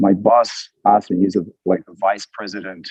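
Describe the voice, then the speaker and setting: With an Australian accent, a man speaks at a fairly quick pace in a dry, close sound with no echo. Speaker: church member sharing testimony. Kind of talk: testimony. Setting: video call, outdoors on a walk.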